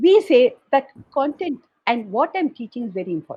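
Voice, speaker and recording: A woman speaks in a somewhat breathy voice with very wide pitch swings. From South India. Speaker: educator and founder of a learning organisation. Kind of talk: guest talk at an online awards event.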